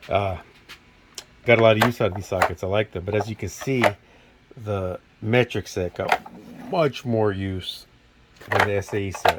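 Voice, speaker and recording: Through noticeable background noise, a man with a fairly low pitch speaks with long, frequent pauses. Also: fairly even intonation, moderate pace. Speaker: mechanic. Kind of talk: tool review video. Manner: stuttering; casual, hesitant.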